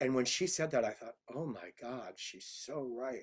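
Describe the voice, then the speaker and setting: At a fairly slow pace, a man speaks at a medium pitch with ordinary pitch variation. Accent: American. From Iowa, US Midwest. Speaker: cabaret singer. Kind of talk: interview.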